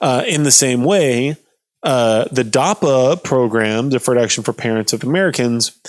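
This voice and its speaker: At a moderate pace, a man speaks at a medium pitch with ordinary variation and very even loudness. The sound is dry and close with no echo, in a very clean recording with a silent background. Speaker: political commentator. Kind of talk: explainer livestream, casual. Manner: mumbling; halting, many fillers.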